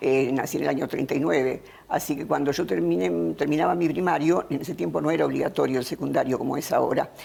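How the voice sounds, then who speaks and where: A woman with a very deep, low pitch talks at a very fast pace with hardly any pauses, her pitch swinging very widely. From Argentina, Buenos Aires province. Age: 80s+. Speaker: philosopher. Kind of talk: interview. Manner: halting.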